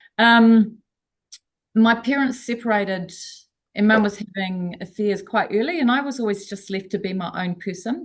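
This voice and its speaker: A somewhat breathy woman's voice, fairly high in pitch, at a moderate pace. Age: 60s. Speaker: coaching program participant. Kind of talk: casual chat. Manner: halting.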